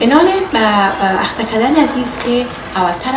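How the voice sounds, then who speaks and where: A woman talks at a moderate pace while noticeable noise runs in the background. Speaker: cooking show host. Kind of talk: tutorial. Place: kitchen.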